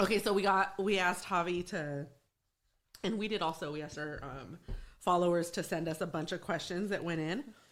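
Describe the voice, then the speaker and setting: Against a silent background in a very clean recording, a woman talks fairly quickly in an unremarkable speaking voice, fairly low in pitch, with ordinary pitch variation. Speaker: podcast co-host. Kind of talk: casual chat.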